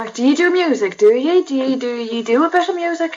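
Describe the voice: A woman speaks at a fairly quick pace with a high pitch and lively intonation. Her tone is slightly mellow.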